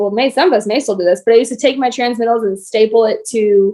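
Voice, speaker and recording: Talking very fast, a woman has a fairly high pitch and a dark, mellow tone. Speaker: insurance agency team leader. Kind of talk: team meeting instructions.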